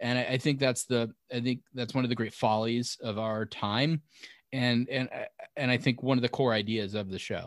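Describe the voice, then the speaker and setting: A man's plain, everyday voice at medium pitch with an American accent, moderate pace and fairly even intonation, in a very clean recording with a silent background and a dry, close sound with no echo. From US Northeast, southern Connecticut. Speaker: author and TV producer. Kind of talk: casual interview.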